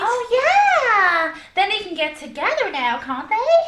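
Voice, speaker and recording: Amid loud background noise, a woman uses a put-on, squeaky character voice with an extremely high pitch and very wide pitch swings, speaking at a fairly slow pace. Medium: audio drama. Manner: sarcastic, wisecracking.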